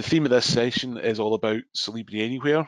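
With a Scottish accent, a man speaks at a moderate pace and medium pitch with ordinary pitch variation, in a dry, close sound with no echo. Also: quiet background. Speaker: software trainer. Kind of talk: webinar tutorial. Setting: online webinar.

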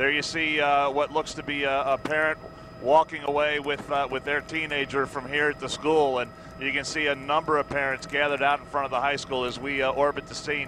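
Noticeable background noise surrounds a man speaking fairly quickly in a monotone, flat intonation, his sound dry with no echo. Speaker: helicopter news reporter. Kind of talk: live commentary. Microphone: headset.

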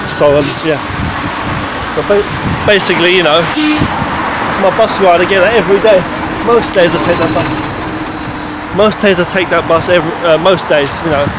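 A man's voice at a moderate pace with ordinary pitch variation and long, frequent pauses, dry with no echo, over loud background noise. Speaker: vlogger. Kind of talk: casual vlog chat. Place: street. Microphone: phone near.

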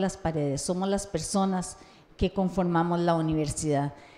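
At a moderate pace, a woman speaks with a medium pitch, a dark, mellow tone and fairly even intonation. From Costa Rica. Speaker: university council candidate, tourism academic. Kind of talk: campaign presentation at public forum. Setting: university centre hall, live-streamed. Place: classroom. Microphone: handheld.

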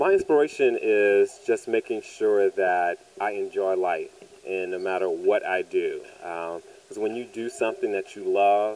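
A man with an American accent, low-pitched and slightly mellow, at a fairly slow pace with ordinary pitch variation.

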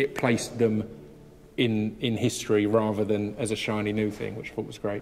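Faint music in the background behind a man with a fairly low pitch, monotone, flat intonation and a moderate pace. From UK. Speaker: spoken word poet. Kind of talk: interview answer. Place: hall.

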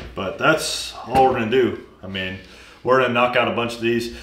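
Loud background noise sits behind a voice with ordinary pitch variation. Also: man. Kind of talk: casual workshop tutorial chat. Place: workshop.

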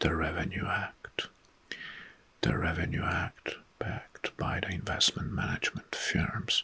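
A man whispers in a soft-spoken way, his delivery fairly slow. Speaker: history commentator. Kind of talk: commentary reading historical facts. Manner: soft-spoken ASMR near-whisper. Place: home room.

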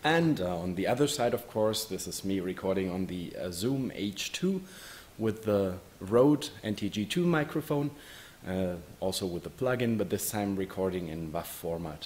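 A man's fairly low voice with a non-native accent, lively intonation and a moderate pace. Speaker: hobby filmmaker. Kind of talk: casual talk to camera, microphone test. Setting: microphone test recording. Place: classroom. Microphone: camera far.

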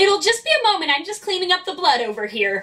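A put-on character voice races at a very fast pace. It uses very wide pitch swings. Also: woman, extremely high pitch for a woman. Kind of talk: polite, professional.

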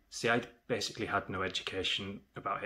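A man speaks with a bright, sharp tone. His pitch is fairly low. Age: 30s. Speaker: HIV awareness vlogger. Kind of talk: personal testimony. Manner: earnest, measured. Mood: serious, reflective. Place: home room. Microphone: phone near.

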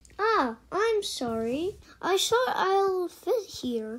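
A woman's cartoonish character voice with very wide pitch swings at a very slow pace. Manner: startled, then frank and helpful.

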